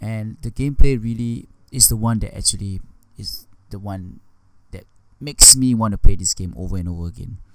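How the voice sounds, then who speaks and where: A mumbling man at a moderate pace, fairly low in pitch, with ordinary pitch variation. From Singapore. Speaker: gaming YouTuber. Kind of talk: unscripted game review. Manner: unscripted, rambling with mumbling; halting with repetitions.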